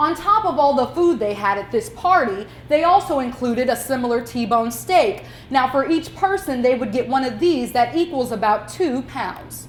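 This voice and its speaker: A woman's high voice moves with lively intonation amid noticeable background noise. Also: moderate pace. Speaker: news reporter. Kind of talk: TV news report.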